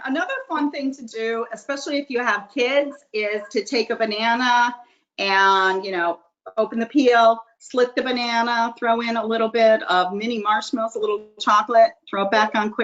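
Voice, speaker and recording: A woman's plain, everyday voice, fairly high in pitch with ordinary pitch variation, at a moderate pace. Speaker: grilling expert giving tips. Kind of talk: presentation on a video call. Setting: video call.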